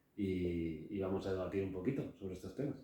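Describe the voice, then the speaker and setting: Amid audible room echo, a man talks at a fairly quick pace in a very deep, low pitch with ordinary pitch variation, his voice somewhat breathy and dark and mellow in tone. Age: 40s. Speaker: businessman, podcast guest. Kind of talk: casual podcast conversation.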